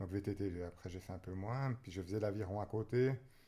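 This man's voice has a dark, mellow tone. A somewhat breathy quality runs through it. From Switzerland, Vaud (Nyon, Yverdon). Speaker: runner and sports shop owner. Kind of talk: casual interview. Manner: halting.

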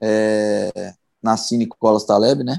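With a dry, close sound and no echo at all, a man is speaking. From Brazil, Belo Horizonte (Minas Gerais). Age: 30s. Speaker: professional footballer. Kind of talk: interview, casual chat.

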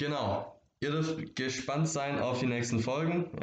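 In a room with audible echo, a man with a slight Swabian accent speaks at a fairly slow pace and with fairly even intonation. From Stuttgart area, Swabia (southwest Germany). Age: young. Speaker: podcast host. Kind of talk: solo podcast introduction. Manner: casual, with filler sounds.

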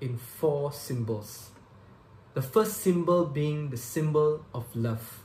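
Somewhat breathy and fairly high-pitched, a man talks at a fairly slow pace with lively intonation. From Malaysia, Subang Jaya. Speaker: lay preacher. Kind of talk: sermon.

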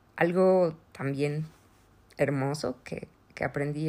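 Very slowly, a woman speaks with a very deep, low pitch and ordinary pitch variation. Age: 30s. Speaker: podcast host, mother. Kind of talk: personal testimony, partly read aloud.

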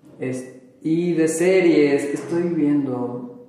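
Noticeable background noise runs under the clip. A man talks with ordinary pitch variation. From Durango, Mexico. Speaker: painter. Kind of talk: casual interview. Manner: hesitant, many fillers.

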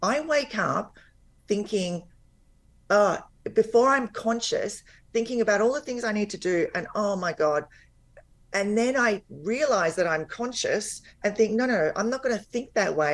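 A woman with an Australian accent, fairly high pitch, lively intonation and a moderate pace. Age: 50s. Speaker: weight loss and life coach. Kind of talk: interview. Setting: remote call, audio only.

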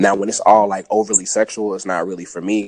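The speaker is a man at a fairly low pitch. He talks at a very fast pace. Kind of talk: casual group chat.

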